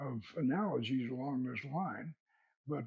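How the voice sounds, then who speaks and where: In an American accent, a man speaks at a very slow pace. His voice is somewhat breathy. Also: dry, close sound with no echo. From US South (Florida, Georgia). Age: 80s+. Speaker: occult author and order founder. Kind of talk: interview. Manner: halting, many repeated words.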